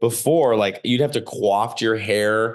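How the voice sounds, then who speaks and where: Against a quiet background, a man with an American accent speaks at a medium pitch with ordinary pitch variation. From Chicago area, US Midwest. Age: 30s. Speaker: stand-up comedian. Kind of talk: casual interview chat. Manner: animated.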